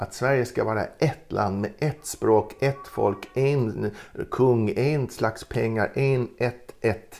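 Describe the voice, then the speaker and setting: This man talks at a very slow pace. His medium pitch shows ordinary variation. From Gotland, Sweden. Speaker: retired ethnology professor. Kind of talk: interview. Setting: at home. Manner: halting.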